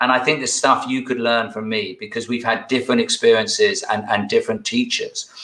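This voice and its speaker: Over noticeable background noise, a man with a British accent talks at a fairly quick pace, hardly pausing at all. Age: 60s. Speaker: executive coach. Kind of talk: interview conversation.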